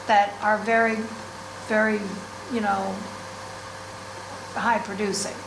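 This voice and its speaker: A woman speaks at a fairly high pitch. Noticeable background noise and audible room echo surround her. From US Northeast. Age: 60s. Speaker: sheep farmer. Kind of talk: class talk. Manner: casual, hesitant with fillers.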